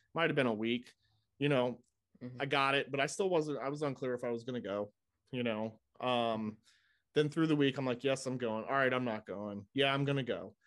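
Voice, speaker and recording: A normal speaking voice from a man, medium in pitch, at a fairly quick pace. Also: ordinary pitch variation. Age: 40s. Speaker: football podcast co-host and fan. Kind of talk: casual chat.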